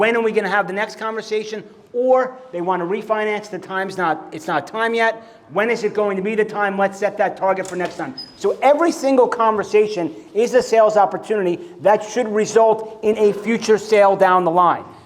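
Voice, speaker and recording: A man with an American accent speaks in an animated tone at a high pitch and a fairly quick pace, with ordinary pitch variation. Noticeable background noise is present. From New York. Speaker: mortgage business coach. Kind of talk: conference presentation. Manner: fast.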